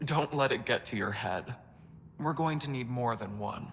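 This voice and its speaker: A man puts on a character voice at a medium pitch. There is clear background noise. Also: moderate pace. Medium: video game.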